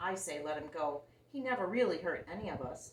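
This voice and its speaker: This put-on character voice sits at a middle pitch and moves at a fairly quick pace. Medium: read story.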